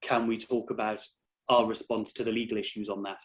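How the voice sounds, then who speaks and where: This is a man speaking with a slight North East England accent. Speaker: employment law barrister. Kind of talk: interview.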